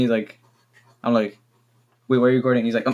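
Monotone, flat intonation with a Spanish accent. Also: man. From Mexico. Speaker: podcast co-host. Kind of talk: casual chat.

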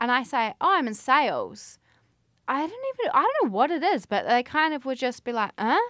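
A woman with a New Zealand accent speaks at a moderate pace in a high, bright, sharp voice. Her pitch swings very widely. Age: 20s. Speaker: podcast host. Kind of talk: casual monologue.

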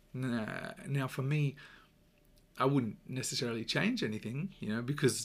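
A somewhat breathy man with an Australian accent speaks on a very clean recording with a silent background. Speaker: podcast host, self-improvement coach. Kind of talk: solo motivational talk. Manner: casual, filler-heavy with repetitions.

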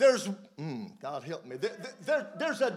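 A voice in a Southern US accent comes through with audible room echo. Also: man. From US South, mountain region. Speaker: preacher. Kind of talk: sermon with live interpretation.

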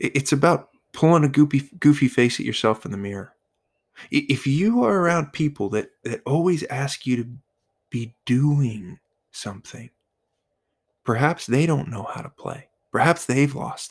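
At a moderate pace, a man with a fairly high, somewhat breathy voice speaks with lively intonation and long, frequent pauses. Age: 30s. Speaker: podcast host. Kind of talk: solo podcast monologue. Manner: halting, with frequent repetitions.

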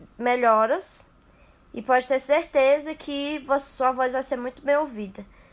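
This woman's voice is high in pitch. Her intonation stays fairly even. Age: young. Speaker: architecture student. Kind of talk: interview.

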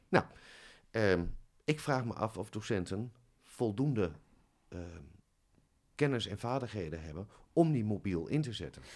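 A man with a fairly low voice speaks at a fairly slow pace, with lively intonation, big swings in loudness and long, frequent pauses. The recording is very clean, with a silent background. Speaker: head of music teacher training. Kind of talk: casual interview. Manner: soft-spoken.

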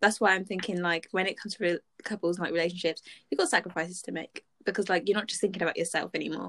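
A woman's medium-pitched voice at a very fast pace, with fairly even intonation and a dry, close sound with no echo. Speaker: podcast co-host. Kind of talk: casual chat.

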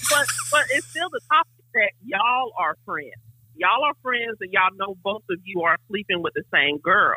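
This woman's fairly high voice makes very wide pitch swings at a moderate pace. The sound is dry and close, with no echo. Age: 40s. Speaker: caller. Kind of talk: casual chat. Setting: phone call.

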